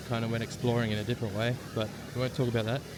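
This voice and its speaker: The speaker has an Australian accent, with noticeable background noise throughout. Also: man. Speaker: travel vlogger. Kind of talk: casual vlog narration. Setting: outdoors. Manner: casual, hesitant with fillers.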